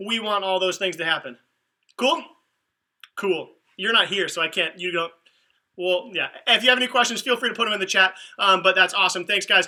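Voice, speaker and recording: Animated and fairly quick, a man with a high voice uses ordinary pitch variation but leaves long, frequent pauses. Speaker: youth ministry leader. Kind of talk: livestream announcements. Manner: fast.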